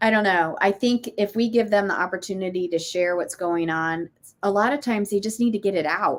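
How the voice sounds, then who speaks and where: Using an unremarkable speaking voice, a woman of medium pitch talks at a fairly quick pace with ordinary pitch variation. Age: 50s. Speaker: parenting coach and former teacher. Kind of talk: casual interview chat.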